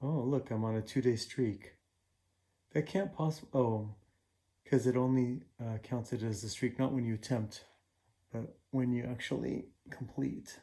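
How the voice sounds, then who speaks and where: Mumbled, fairly slow speech from a man, medium-pitched with ordinary variation, a dark, mellow tone and long, frequent pauses. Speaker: puzzle-solving YouTuber. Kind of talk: casual solo commentary while solving puzzles. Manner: mumbling; halting, many fillers.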